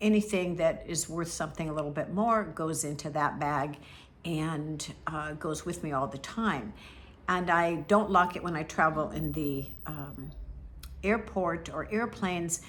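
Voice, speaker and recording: Amid audible room echo, a woman with a very deep, low pitch and vocal fry speaks at a fairly slow pace with ordinary pitch variation. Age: 70s. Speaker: travel vlogger. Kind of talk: tutorial. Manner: casual, hesitant with many fillers.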